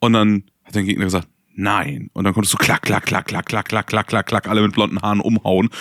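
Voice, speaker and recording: An ordinary speaking voice with fairly even intonation and a dry, close sound with no echo. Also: man, fairly low pitch for a man, fairly quick pace. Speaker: board game podcast co-host. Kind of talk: casual chat.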